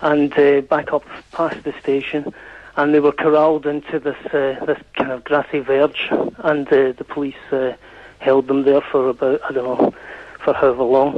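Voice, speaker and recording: Noticeable background noise sits behind a man whose fairly high voice stays flat and monotone. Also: moderate pace. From Scotland. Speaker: caller. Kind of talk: radio phone-in debate. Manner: halting, with many false starts.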